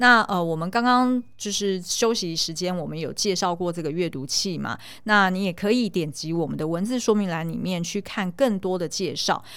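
Over a silent background in a very clean recording, a woman talks in a plain, everyday voice with ordinary pitch variation and hardly any pauses. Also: medium pitch for a woman, moderate pace. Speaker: podcast co-host, film commentator. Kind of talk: casual chat; sales pitch.

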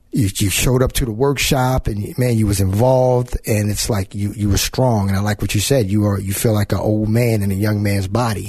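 Fairly quick and somewhat breathy, the voice has a dark, mellow tone, very even loudness, fairly even intonation and hardly any pauses. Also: man, fairly low pitch for a man. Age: 40s. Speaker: radio show host. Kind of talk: interview. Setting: studio.

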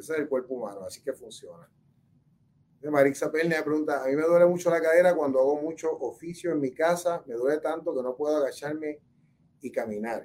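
A man speaks at a fairly quick pace in a fairly high voice, with ordinary pitch variation and big swings in loudness. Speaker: orthopedic surgeon. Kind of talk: health talk answering viewer questions. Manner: hesitant, many fillers and repetitions.

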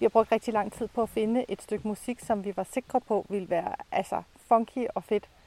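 Dry and close with no echo, a woman's fairly high voice carries a dark, mellow tone. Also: fairly even intonation, moderate pace. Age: 50s. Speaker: podcast co-host. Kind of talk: casual chat. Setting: outdoors.

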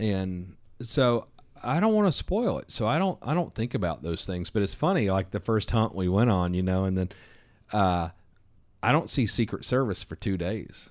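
Recorded very cleanly against a silent background, a man with a Southern accent talks at a moderate pace in a fairly low voice with lively intonation. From US South, Georgia. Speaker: firearms company founder. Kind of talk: casual chat. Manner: animated.

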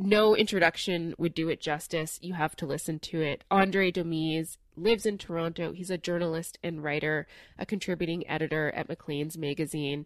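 A woman speaks at a moderate pace in a fairly low pitch with fairly even intonation and hardly any pauses. It is an unremarkable speaking voice on a very clean recording with a silent background. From Newfoundland, Canada. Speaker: law professor and podcast host. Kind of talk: scripted narration. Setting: living room.

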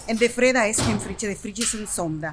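With a Spanish accent, a woman talks in very wide pitch swings over music in the background. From Dominican Republic. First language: Spanish (speaking Dutch). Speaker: kitchen worker. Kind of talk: casual chat.

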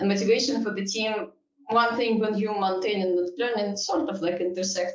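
A woman speaks at a moderate pace with a Russian accent. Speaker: engineering executive. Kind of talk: panel discussion.

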